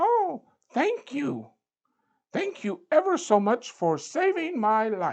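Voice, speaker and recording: Squeaky and high-pitched, this put-on character voice moves at a very slow pace. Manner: grateful, earnest.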